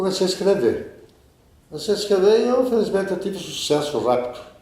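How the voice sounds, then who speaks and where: A man's pitch swings very widely as he speaks, with audible room echo around him. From Brazil, Piracicaba (São Paulo interior). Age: 70s. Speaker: journalist and writer. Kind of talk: interview. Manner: conversational, with hesitations.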